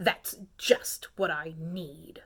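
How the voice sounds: A woman puts on a character voice that rumbles at a low pitch with vocal fry and a slightly husky edge, speaking at a very slow pace with fairly even intonation and a fairly bright tone.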